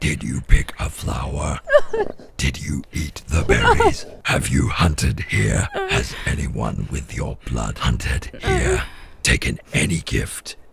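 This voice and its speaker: A man puts on a character voice with a very deep, low pitch. He talks at a fairly slow pace over clear background noise. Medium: short film. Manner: menacing, accusing, domineering.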